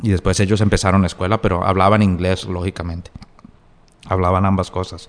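Very deep and low, a man's voice stays monotone with flat intonation. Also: fairly quick pace. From US, New Jersey, Colombian family. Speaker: novelist and lawyer. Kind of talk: interview. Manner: halting, with many fillers and repetitions.

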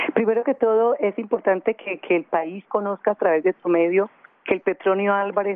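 A woman speaks in a normal speaking voice at medium pitch. Her pitch varies in an ordinary way, and her pace is moderate. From Colombian Pacific coast, Buenaventura. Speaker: city culture official. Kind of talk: radio interview.

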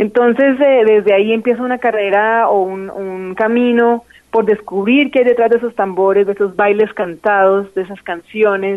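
A woman talks at a moderate pace with hardly any pauses, using a plain, everyday voice. Her pitch is fairly high and her intonation fairly even. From Colombia, Bogotá. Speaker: singer and musician. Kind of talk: interview.

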